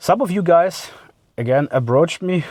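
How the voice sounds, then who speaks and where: A man speaks with a German accent at a moderate pace. His tone is dark and mellow, and his intonation is lively. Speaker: car vlogger. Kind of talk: casual vlog monologue. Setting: in a car. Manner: halting, many fillers.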